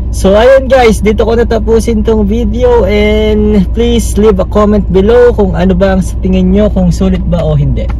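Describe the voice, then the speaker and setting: A man's very deep, low voice at a moderate pace, dry with no echo, over light background noise. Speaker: fitness vlogger. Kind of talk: casual vlog chat. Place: car. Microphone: phone near.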